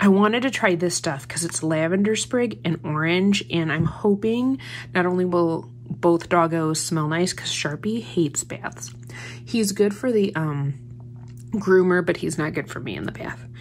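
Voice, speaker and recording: A woman talks at a moderate pace in a fairly low pitch, her voice swinging very widely in pitch. There is light background noise. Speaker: haul vlogger. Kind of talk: casual haul chat. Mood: cheerful, amused. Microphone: phone near.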